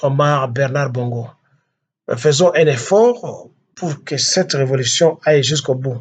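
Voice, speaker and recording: A man with a fairly high pitch speaks at a fairly slow pace, sounding somewhat breathy. His speech has long, frequent pauses. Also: ordinary pitch variation. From DR Congo. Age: 60s. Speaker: political activist. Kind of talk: political address. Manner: halting.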